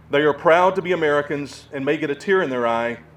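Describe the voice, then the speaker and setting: Speaking with a Southern US accent, a man talks at a fairly quick pace. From US South. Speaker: war veteran. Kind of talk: speech.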